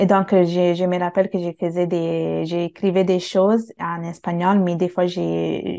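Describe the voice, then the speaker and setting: A woman talks at a very slow pace in a fairly low pitch. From Italy, of Bangladeshi parents. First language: Bengali, with Italian as adopted native language (speaking French). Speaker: multilingual language learner. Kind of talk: casual interview conversation. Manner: halting, many fillers and self-corrections.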